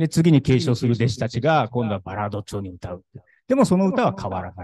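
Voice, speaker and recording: A man races through his words, his voice a little airy and his pitch leaping across a very wide range. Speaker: brick craftsman. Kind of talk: talk at an awards event. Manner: casual, halting.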